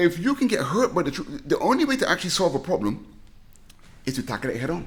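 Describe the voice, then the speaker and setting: In a British accent, a man speaks very fast in a high, animated voice with very wide pitch swings. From southern England (Reading), Barbadian family. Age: 60s. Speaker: comic book creator and stand-up comedian. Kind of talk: podcast interview.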